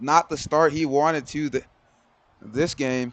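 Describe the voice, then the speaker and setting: This man's voice is fairly high in pitch, with fairly even intonation. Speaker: game commentator. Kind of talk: live commentary.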